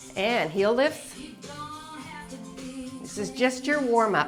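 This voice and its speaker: A woman's upbeat, fairly high voice at a very slow pace with very wide pitch swings, music in the background. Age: 60s. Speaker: fitness instructor. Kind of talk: workout instruction to camera. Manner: upbeat, encouraging.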